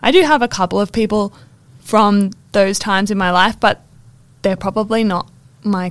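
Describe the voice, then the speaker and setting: Her pitch sits in the middle range for a woman. She speaks at a fairly slow pace. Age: 20s. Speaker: podcast co-host. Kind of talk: casual chat. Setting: library recording room.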